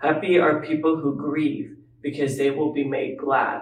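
With a normal speaking voice, a man talks fairly slowly at a fairly high pitch and with fairly even intonation. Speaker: scripture reader. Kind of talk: reading aloud.

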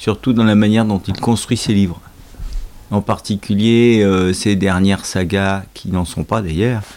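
This man has an unremarkable speaking voice with a fairly low pitch. He talks at a fairly slow pace with fairly even intonation. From Normandy, France. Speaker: host's father, reader. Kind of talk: casual chat.

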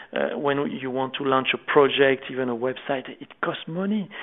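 Speaking with a French accent, a man with a fairly high pitch moves at a moderate pace with ordinary pitch variation. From France. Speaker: ministry founder. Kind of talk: interview. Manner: halting.

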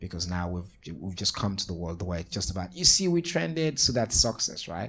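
A man's very deep, low voice with vocal fry, at a very fast pace. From Sierra Leone. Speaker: nonprofit founder and advocate. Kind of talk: panel discussion. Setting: live panel with audience.

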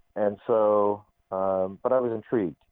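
Very slowly, a man with an American accent talks at a fairly low pitch. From Arizona, US. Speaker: Islamic college president. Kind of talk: interview. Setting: phone call.

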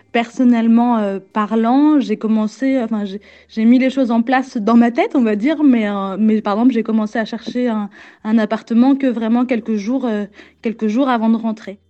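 A woman speaks at a moderate pace with a dark, mellow tone, fairly high pitch and fairly even intonation. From Normandy, France (Falaise, Calvados). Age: 30s. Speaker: exhibition designer. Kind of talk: interview. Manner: halting, many hesitations.

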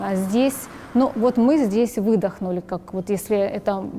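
A woman speaks in an ordinary speaking voice, pitched fairly high. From eastern Ukraine, Donetsk. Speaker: war refugee, mother of a young hockey player. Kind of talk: interview testimony.

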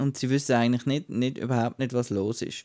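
With a Swiss accent, a man speaks at medium pitch in a dry, close sound with no echo on a very clean recording with a silent background. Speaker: film podcast co-host. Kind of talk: casual chat.

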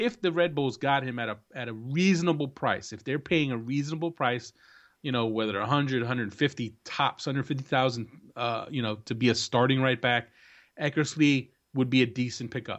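Against a quiet background, a man with an American accent speaks at a fairly quick pace. His pitch is medium, with ordinary variation. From New Jersey. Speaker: soccer analyst and podcast host. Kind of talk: casual chat. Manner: hesitant, filler-heavy.

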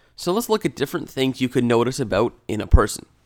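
On a very clean recording with a silent background, a man talks at a fairly quick pace and medium pitch. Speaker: podcast host. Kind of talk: solo podcast monologue with sponsor plug. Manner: has a radio voice and a separate casual podcast voice.

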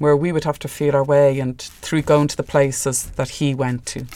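Moderately paced speech in an Irish accent. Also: woman. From Ireland. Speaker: filmmaker. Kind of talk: interview.

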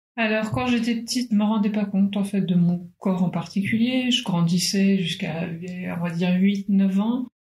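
Speaking at a moderate pace, a woman has an unremarkable speaking voice at a medium pitch. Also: ordinary pitch variation. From Paris, France. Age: 30s. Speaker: cancer survivor. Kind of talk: testimony.

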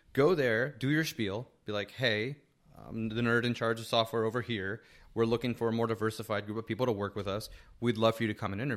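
A man with an American accent talks at a very fast pace, his medium pitch held in fairly even intonation. The recording is very clean, with a silent background. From New Jersey, Hackensack. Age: 40s. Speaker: tech entrepreneur and author. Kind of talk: casual interview chat. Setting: host's apartment studio.

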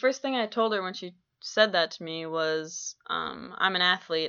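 Here is a plain, everyday voice. It keeps a moderate pace. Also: woman. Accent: American. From Minnesota, Twin Cities. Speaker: college basketball player and podcaster. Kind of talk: personal monologue podcast. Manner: casual, many filler ums.

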